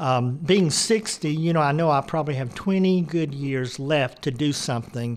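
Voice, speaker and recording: The delivery is fairly slow, with ordinary pitch variation. It is a normal speaking voice. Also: man. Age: 60s. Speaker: retiree, neighborhood ministry volunteer. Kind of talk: interview storytelling.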